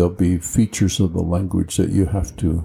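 A man's very deep, low voice carries a dark, mellow tone, somewhat breathy, with fairly even intonation. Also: very clean recording, silent background. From rural Colorado, US. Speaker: retired college tutor. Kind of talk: interview.

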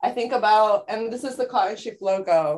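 Against a quiet background, a woman with a Californian accent speaks with ordinary pitch variation. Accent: Californian American. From San Francisco Bay Area. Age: 20s. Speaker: artist and family boutique owner. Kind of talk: casual interview chat.

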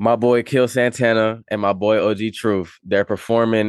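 In an American accent and an ordinary speaking voice, the speaker goes at a moderate pace, the sound dry and close with no echo against a quiet background. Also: man. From Las Vegas, then Charlotte, North Carolina from age twelve. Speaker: rapper and music producer. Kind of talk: casual interview.

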